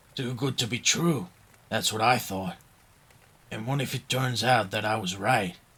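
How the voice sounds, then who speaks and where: Using a put-on character voice, a man speaks in a raspy tone at a medium pitch and moderate pace, with ordinary pitch variation and long, frequent pauses. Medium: read story.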